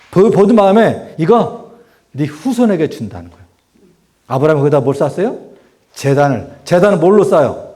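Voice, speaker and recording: A man with a high voice speaks with lively intonation and long, frequent pauses, and the room echo is audible. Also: big swings in loudness. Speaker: preacher. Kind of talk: Bible study sermon. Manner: fast; animated.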